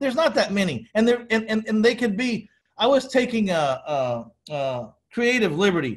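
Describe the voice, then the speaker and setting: A high-pitched man with an American accent. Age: 50s. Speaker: podcast host. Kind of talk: podcast interview.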